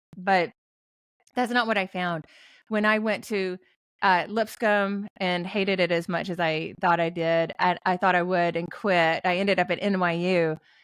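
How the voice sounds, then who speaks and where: A woman with a Tennessee accent speaks at a moderate pace in a medium pitch, her intonation fairly even, on a very clean recording with a silent background. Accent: Southern US (Tennessee). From US South, western Tennessee. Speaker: author and ghostwriter. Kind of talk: podcast interview.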